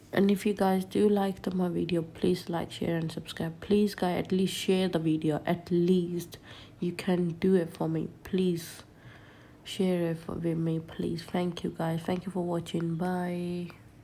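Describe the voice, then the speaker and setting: The voice is somewhat breathy, with a dark, mellow tone. It moves at a fairly slow pace in a monotone, flat delivery. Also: woman, fairly low pitch for a woman. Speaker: home vlogger. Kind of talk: casual vlog narration. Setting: at home.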